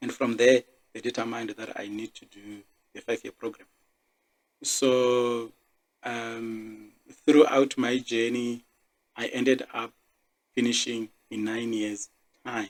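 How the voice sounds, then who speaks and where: A man speaks fairly slowly in a monotone, flat intonation with long, frequent pauses and big swings in loudness, in a dry, close recording with no echo. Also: medium pitch for a man. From South Africa, Limpopo. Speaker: podcast host, engineer. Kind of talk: personal monologue podcast.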